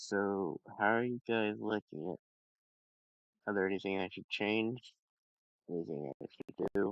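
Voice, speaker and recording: Speaking at a fairly slow pace with long, frequent pauses, a man uses a fairly low pitch and ordinary pitch variation. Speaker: live streamer. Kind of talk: casual chat. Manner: soft-spoken; halting.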